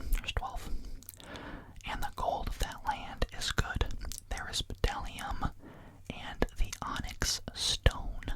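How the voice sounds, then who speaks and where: Whispering at a very slow pace, a man leaves long, frequent pauses over noticeable background noise. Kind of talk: Bible reading, ASMR. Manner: whispered.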